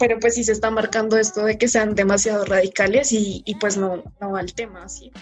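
A woman's fairly high voice at a fairly quick pace, flat and monotone in intonation, with big swings in loudness and hardly any pauses. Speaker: mechanical engineering student. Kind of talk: casual chat.

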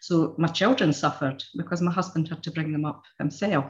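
A woman speaks at a very deep, low pitch with fairly even intonation. Her voice is somewhat breathy. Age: 60s. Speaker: therapy client. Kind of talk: testimony. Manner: halting.

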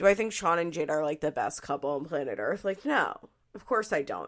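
In a Philadelphia accent, a woman talks at a moderate pace with ordinary pitch variation. The recording is very clean, with a silent background. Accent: mild Philadelphia. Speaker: podcast host. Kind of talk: casual chat. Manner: chatty, laughs often.

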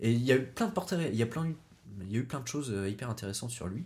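Very fast, somewhat breathy speech with lively intonation on a very clean recording with a silent background. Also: man. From Brittany, Pays Bigouden. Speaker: podcast guest. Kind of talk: casual chat.

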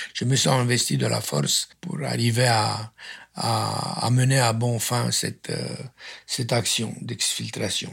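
A man speaks in a Romanian accent. His pace is very slow. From Romania, Transylvania. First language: Romanian (speaking French). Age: 70s. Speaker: architect. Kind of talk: testimony. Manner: halting.

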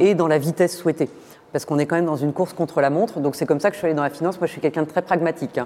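The woman's voice sits at a very deep, low pitch. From eastern France. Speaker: finance executive. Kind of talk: interview.

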